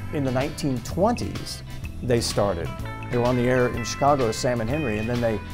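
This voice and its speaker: With music playing behind him, a man talks at a fairly quick pace, his medium-pitched voice showing ordinary pitch variation. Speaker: old time radio show host and collector. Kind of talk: interview answer.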